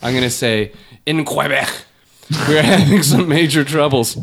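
Using a put-on character voice, a man speaks at a moderate pace, fairly high-pitched and raspy. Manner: over-the-top, pretentious pronunciation.

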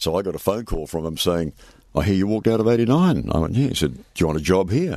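Speaking very fast, a man with a very deep, low voice and a dark, mellow tone swings very widely in pitch. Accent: New Zealand. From New Zealand. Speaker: retired radio presenter. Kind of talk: casual interview.

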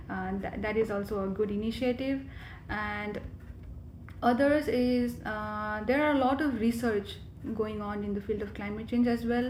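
A woman with a fairly high pitch speaks at a moderate pace with fairly even intonation. Noticeable background noise and audible room echo are present. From Nepal, Kathmandu. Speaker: graduate student, climate advocate. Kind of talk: interview.

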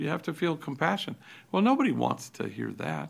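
This very clean recording with a silent background has a man talking at a fairly quick pace. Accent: American. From Los Angeles, California. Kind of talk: interview.

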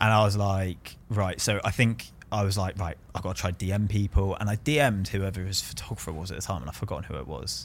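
With a southern English accent, a man talks at a very fast pace with hardly any pauses. His pitch is fairly low, with ordinary pitch variation. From southern England, Bournemouth. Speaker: painter. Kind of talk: casual chat. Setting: studio.

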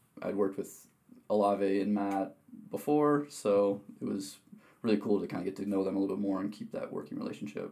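The voice has an American accent and a dark, mellow tone. It moves at a fairly quick pace with ordinary pitch variation. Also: man, fairly low pitch for a man. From Wisconsin. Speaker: athletic trainer. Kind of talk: interview.

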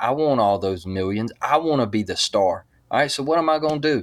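A man speaks in a Southern US accent with an animated tone. His intonation is lively. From US South, Mobile, Alabama.

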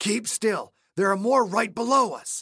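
Raspy and fairly high in pitch, this put-on character voice moves at a moderate pace.

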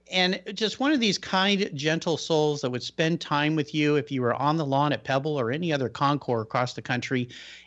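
A man with an American accent speaks at a moderate pace, fairly high in pitch. It is an ordinary speaking voice with ordinary pitch variation. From US Pacific Northwest. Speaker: podcast host. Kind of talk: radio interview.

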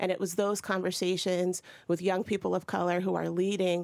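In a very clean recording with a silent background, a woman with an American accent talks at a fairly low pitch in a monotone, flat intonation. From Ohio. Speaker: state representative. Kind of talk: political discussion.

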